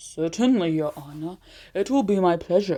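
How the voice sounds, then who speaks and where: A woman performs a put-on character voice at a fairly low pitch and a moderate pace. The recording is very clean, with a silent background. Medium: read story. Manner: folksy, polite.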